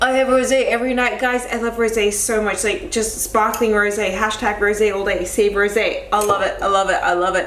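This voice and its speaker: A woman's fairly high voice at a fairly quick pace with hardly any pauses, amid noticeable background noise and audible room echo. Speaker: lifestyle vlogger. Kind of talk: casual vlog talk to camera. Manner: fast; animated.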